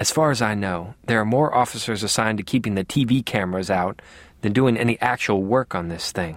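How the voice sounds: Pitch shifts in an ordinary way through a natural reading voice.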